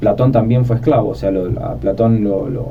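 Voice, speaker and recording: A man at medium pitch and a fairly quick pace, fairly even intonation, audible room echo and noticeable background noise. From Argentina, Buenos Aires. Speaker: philosophy podcast host. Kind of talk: conversational podcast discussion.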